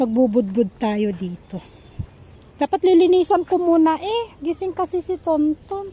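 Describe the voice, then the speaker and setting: A woman's extremely high voice at a fairly slow pace, with very wide pitch swings. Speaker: home vlogger, parent. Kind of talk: casual vlog narration. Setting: outdoors, home garden.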